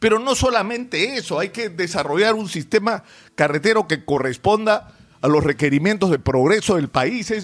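High-pitched male voice with lively intonation. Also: moderate pace. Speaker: political commentator. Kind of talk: opinion commentary. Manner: emphatic.

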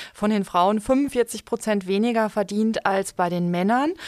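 A woman with an unremarkable speaking voice, medium pitch and ordinary pitch variation. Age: 40s. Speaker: bank financial advisor. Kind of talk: casual chat.

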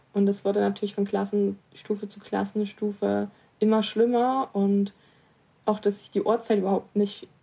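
At a moderate pace, a woman speaks. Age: 20s. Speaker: person with dyscalculia, youth group spokesperson. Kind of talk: personal testimony.

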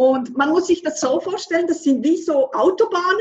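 A woman with a Swiss accent and very wide pitch swings. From French-speaking Switzerland. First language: French (speaking German). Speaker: author and manifestation coach. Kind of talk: interview conversation.

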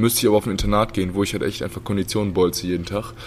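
A man talks at a very fast pace in a fairly low pitch. Noticeable background noise runs under his voice. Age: 20s. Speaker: professional basketball player. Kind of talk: casual chat. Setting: sitting down after a training session.

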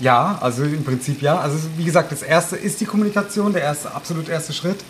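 Over noticeable background noise, the speech moves at a fairly quick pace with ordinary pitch variation. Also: man. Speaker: mayor. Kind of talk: casual chat. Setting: home kitchen.

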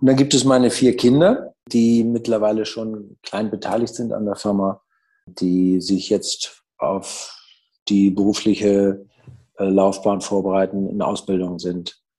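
Speaking at a very slow pace against a quiet background, a man uses a dark, mellow tone and fairly even intonation. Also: fairly low pitch for a man. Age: 60s. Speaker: business owner and managing director. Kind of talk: interview. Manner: hesitant, many fillers.

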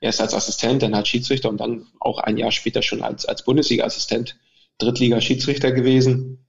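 A man speaks at a fairly quick pace, somewhat breathy and monotone, with flat intonation. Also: medium pitch for a man. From Mecklenburg, near Schwerin, Germany. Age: 40s. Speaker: football referee (VAR). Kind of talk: interview. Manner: halting, many fillers and repetitions.

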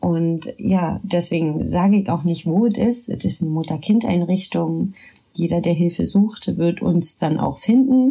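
Here a woman uses an ordinary speaking voice at a fairly low pitch. She talks at a fairly slow pace with ordinary pitch variation. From Berlin, Germany. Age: 30s. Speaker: social worker. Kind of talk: casual chat. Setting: home studio.

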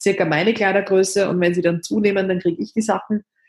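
A woman speaks fairly quickly in a Viennese accent, somewhat breathy. Her pitch is medium, and her intonation stays fairly even. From Austria, Vienna. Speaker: author and activist. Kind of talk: interview. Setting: remote call from bed.

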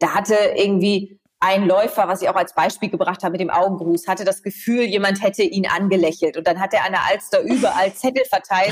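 A woman with a normal speaking voice and medium pitch talks at a fairly quick pace with hardly any pauses, very even loudness and fairly even intonation. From East Frisia, northern Germany. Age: 30s. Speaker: TV presenter, journalist and coach. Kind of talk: casual chat.

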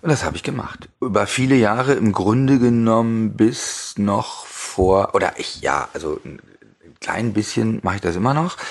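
Speaking at a moderate pace, a man with medium pitch uses lively intonation. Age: 50s. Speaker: sommelier and language teacher. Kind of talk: interview. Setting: in person. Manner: hesitant, many filler sounds.

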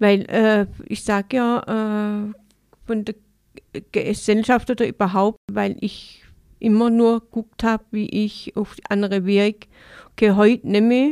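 Recorded very cleanly with a silent background and a dry, close sound with no echo, a woman speaks very slowly in a fairly high, monotone, flat voice with long, frequent pauses. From Baden-Württemberg, Enzkreis (Königsbach). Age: 50s. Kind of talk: interview. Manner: halting.

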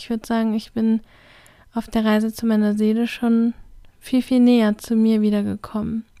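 With long, frequent pauses, a woman speaks in a monotone, flat delivery, her tone dark and mellow and the sound dry and close with no echo. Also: fairly high pitch for a woman, moderate pace. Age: 30s. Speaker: podcast host, self-development coach. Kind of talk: solo podcast monologue.

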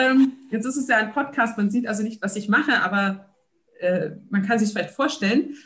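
Energetic and somewhat breathy, a woman speaks at a fairly high pitch with lively intonation. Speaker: social entrepreneur. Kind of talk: interview.

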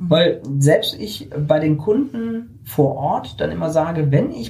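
This man has a high pitch and lively intonation, heard over noticeable background noise. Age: 50s. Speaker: self-employed publishing technology consultant. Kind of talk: interview. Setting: recorded on a hiking trip.

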